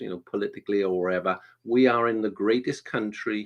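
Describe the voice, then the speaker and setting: Against a quiet background, a man with a Welsh accent talks at a moderate pace. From Wales. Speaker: performance coach. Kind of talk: live online interview.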